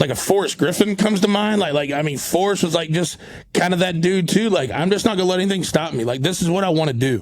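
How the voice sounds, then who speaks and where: A man with an American accent talks at a very fast pace in a high voice for a man, his pitch varying in an ordinary way. Noticeable background noise runs behind him. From North Carolina. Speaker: podcast host. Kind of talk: casual interview.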